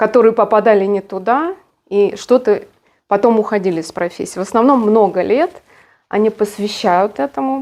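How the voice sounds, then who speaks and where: Speaking at a moderate pace with long, frequent pauses, a woman uses a fairly high pitch and ordinary pitch variation. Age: 50s. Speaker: hairdressing trainer. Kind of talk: monologue talk. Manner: halting, many fillers.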